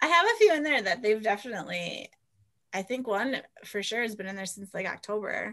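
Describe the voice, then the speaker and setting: At a fairly quick pace, a woman with an unremarkable speaking voice, fairly high in pitch, uses lively intonation and big swings in loudness. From US Minnesota. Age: 30s. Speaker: romance author. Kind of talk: casual interview chat.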